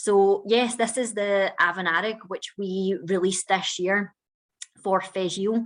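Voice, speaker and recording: This woman has a Scottish accent and a medium pitch. She keeps a moderate pace with fairly even intonation. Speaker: whisky master blender. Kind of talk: virtual whisky tasting.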